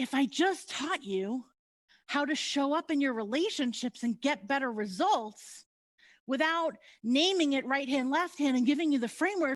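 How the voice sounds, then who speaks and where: A woman's high-pitched, animated voice with lively intonation and very even loudness at a moderate pace over a quiet background. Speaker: motivational speaker and coach. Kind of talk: live workshop talk.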